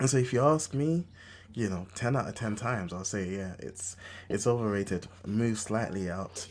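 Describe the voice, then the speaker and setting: The speaker has a London accent and talks at a moderate pace with ordinary pitch variation. The recording is very clean, with a silent background. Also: man, fairly low pitch for a man. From London (Enfield, North London). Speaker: podcast host. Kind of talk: casual chat.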